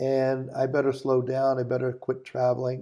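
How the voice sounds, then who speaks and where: Here a man talks at a moderate pace and medium pitch, his tone dark and mellow. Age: 70s. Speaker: company founder and chairman. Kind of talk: motivational talk in a podcast interview.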